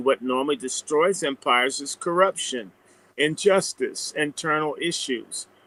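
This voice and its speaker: A plain, everyday voice from a man, fairly high in pitch with ordinary pitch variation, at a fairly slow pace, dry and close with no echo. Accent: American. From US South. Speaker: commentator. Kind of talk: casual chat. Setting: live stream.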